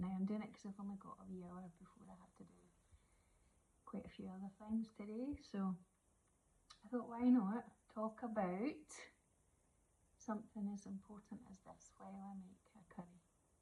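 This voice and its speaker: A woman with a Scottish accent speaks at medium pitch in a dark, mellow tone, keeping a moderate pace and fairly even intonation, with long, frequent pauses and big swings in loudness. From Scotland. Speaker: witch and oracle card reader. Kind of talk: casual chat. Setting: kitchen while cooking.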